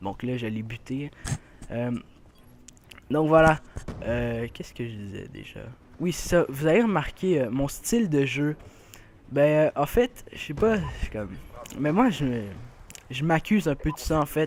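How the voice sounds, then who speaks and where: A man with a Quebec accent, fairly slow, with very wide pitch swings and long, frequent pauses. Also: fairly high pitch for a man. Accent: Québécois French. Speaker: gaming youtuber. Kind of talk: gameplay commentary. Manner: hesitant, many fillers.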